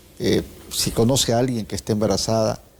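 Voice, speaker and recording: Noticeable background noise beneath a man's fairly slow speech. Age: 60s. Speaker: TV host. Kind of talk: TV interview.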